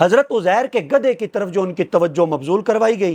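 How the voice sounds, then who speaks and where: The voice belongs to a man and sits high in pitch. The sound is dry and close, with no echo. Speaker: Islamic scholar / preacher. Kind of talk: religious lecture.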